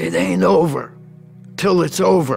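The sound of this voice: Over clear music in the background, a man does a put-on character voice in a New York accent, fairly low in pitch and at a moderate pace.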